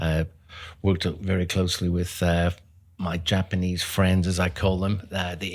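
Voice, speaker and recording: A man with a Northern Irish accent, very deep and low in pitch, in a flat monotone. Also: very clean recording, silent background. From Northern Ireland, Belfast. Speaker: HVAC business owner. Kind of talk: interview.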